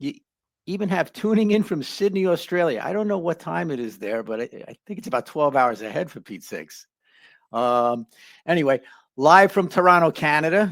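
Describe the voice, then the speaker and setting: Talking fairly quickly with a Bronx accent, a man uses a high pitch with very wide pitch swings and big swings in loudness. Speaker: life coach, channel host. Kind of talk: live stream chat. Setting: live online stream.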